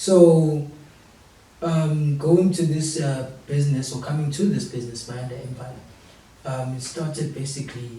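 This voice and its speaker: A man talks at a moderate pace with fairly even intonation. Audible room echo and noticeable background noise surround him. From South Africa, Durban. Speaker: young entrepreneur. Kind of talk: talk show interview.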